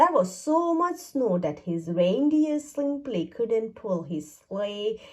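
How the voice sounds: With a slightly mellow tone, a woman speaks slowly at a medium pitch, making big pitch swings.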